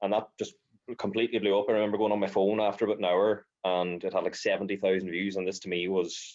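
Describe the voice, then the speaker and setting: Monotone and flat, a man talks at a very fast pace and a fairly low pitch in an Irish accent. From rural Ireland. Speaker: social media creator. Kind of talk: casual chat.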